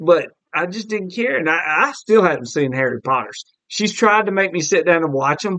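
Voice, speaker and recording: With a Southern US accent, a man talks at a fairly quick pace in a high, bright, sharp voice full of lively intonation. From US South, Alabama (Mobile). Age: 40s. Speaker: podcast host. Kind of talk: casual chat.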